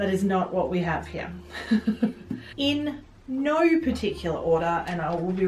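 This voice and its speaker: Through audible room echo and noticeable background noise, a woman with an Australian accent speaks at a moderate pace with very wide pitch swings. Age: 30s. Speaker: book vlogger. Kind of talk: casual book review vlog. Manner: hesitant, many fillers.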